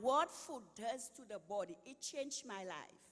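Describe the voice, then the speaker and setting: A woman speaks at a fairly high pitch and a fairly slow pace. Her pitch swings very widely. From Saint Lucia, Caribbean. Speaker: retired health worker, nutrition speaker. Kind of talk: inspirational talk.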